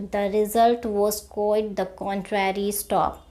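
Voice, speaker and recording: A woman speaks at a very slow pace in a monotone, flat intonation. The recording is very clean, with a silent background. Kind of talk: shorthand dictation read slowly at a fixed speed, with punctuation spoken aloud. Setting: recorded instructional dictation. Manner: slow, measured, even pacing.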